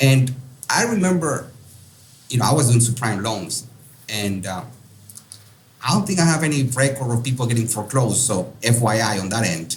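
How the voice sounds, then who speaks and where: A man with a strong Peruvian accent speaks at a medium pitch and a moderate pace, with lively intonation. He leaves long, frequent pauses, and the room has an audible echo. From Peru, Lima. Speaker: real estate investor. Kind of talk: interview. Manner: hesitant with many fillers.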